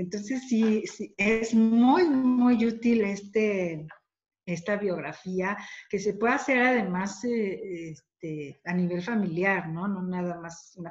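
A somewhat breathy woman's voice over a quiet background. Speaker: thanatologist and grief therapist; panelist. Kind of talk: webinar talk. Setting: video call. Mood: warm, supportive. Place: home room. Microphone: dropped connection; webcam.

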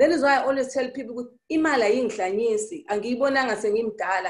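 A woman with a Zulu accent speaks at a high pitch with lively intonation. The background is quiet. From South Africa, KwaZulu-Natal. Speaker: entrepreneur. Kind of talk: interview. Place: office. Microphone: video call.

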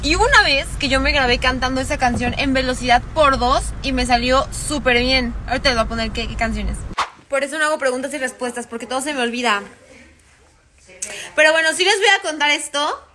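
A woman with a Mexican accent speaks in a raised, projected voice at a high pitch and a fairly quick pace. Her pitch varies in an ordinary way, over light background noise. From Mexico. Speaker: social media creator. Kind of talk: casual chat. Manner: fast; animated.

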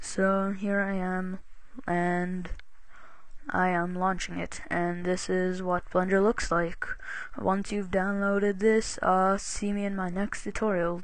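Quiet and at a very slow pace, a woman speaks at medium pitch in a monotone, flat intonation. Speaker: software tutorial maker. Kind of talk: screen-recorded software tutorial. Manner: casual, hesitant with fillers.

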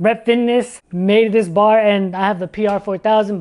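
Over a quiet background, a man talks at a high pitch. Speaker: fitness equipment reviewer. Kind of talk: casual product review chat. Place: gym. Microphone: lapel.

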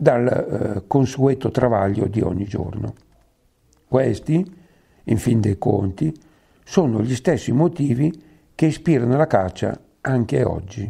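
A man with a medium-pitched, somewhat breathy voice and a dark, mellow tone speaks at a very slow pace, his intonation lively and broken by long, frequent pauses. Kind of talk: local history reading.

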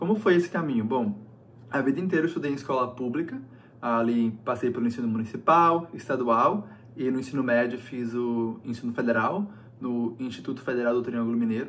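A man keeps a fairly quick pace, his medium pitch showing ordinary variation. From Brazil, interior of Minas Gerais (Paracatu); Minas Gerais, Brazil. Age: 20s. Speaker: recent university graduate. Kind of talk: personal testimony to camera. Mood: calm and reflective. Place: home room. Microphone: phone near.

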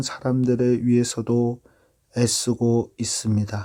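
Very slow and dark, mellow in tone, a man's voice comes through on a very clean recording with a silent background. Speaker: pastor, Bible reader. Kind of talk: Bible reading.

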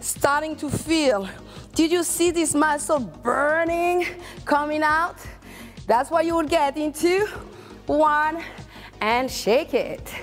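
Over faint background music, a woman talks very slowly at a high pitch with ordinary pitch variation and long, frequent pauses. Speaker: fitness instructor. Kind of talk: workout coaching. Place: studio.

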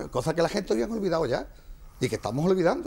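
This man has a high voice that swings very widely in pitch. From Almonte, Andalusia, Spain. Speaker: brotherhood president. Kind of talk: heated debate.

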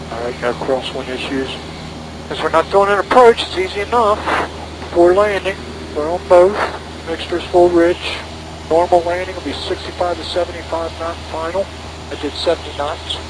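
With ordinary pitch variation and long, frequent pauses, a man talks at a moderate pace in a dry, echo-free recording with noticeable background noise. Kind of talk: cockpit checklist and radio calls. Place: plane. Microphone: headset.

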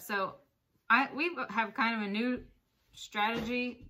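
A woman with a bright, sharp tone against a quiet background. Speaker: thrift reseller. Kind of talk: casual vlog chat. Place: home room. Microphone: phone near.

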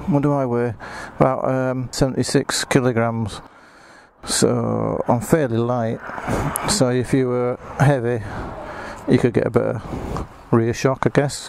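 A man speaks at a fairly slow pace with long, frequent pauses and fairly even intonation. The sound is dry with no echo, with light background noise. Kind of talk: casual walkaround commentary. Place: street. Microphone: phone near.

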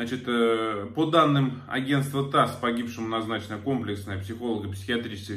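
Speaking at a fairly quick pace, a man uses a medium pitch, ordinary pitch variation and a fairly bright tone.

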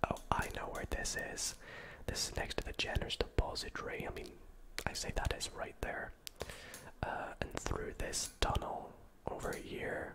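Someone whispers at a moderate pace. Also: man. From Scotland. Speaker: ASMR gaming video creator. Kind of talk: soft-spoken gameplay commentary. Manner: soft-spoken, ASMR style; casual, chatty commentary. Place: home room. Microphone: studio mic.

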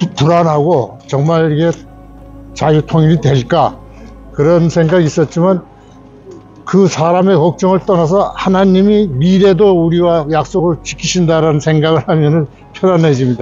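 Faint music plays in the background. The speech comes at a fairly slow pace with very even loudness. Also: man, high pitch for a man, fairly even intonation, dry sound with no echo. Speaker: film director; interviewee. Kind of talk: interview answer. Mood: earnest, reflective. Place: street. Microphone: phone near.

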